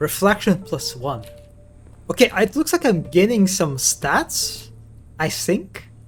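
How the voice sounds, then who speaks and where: With music in the background, a high-pitched man speaks at a very slow pace, his pitch swinging very widely, with long, frequent pauses. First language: Russian. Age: 20s. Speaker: streamer. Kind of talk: casual chat. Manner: halting.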